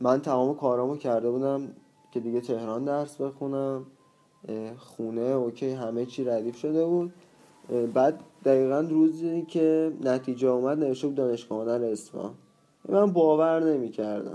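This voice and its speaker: A man at medium pitch and moderate pace, with a normal speaking voice and ordinary pitch variation. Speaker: photography student. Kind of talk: casual chat.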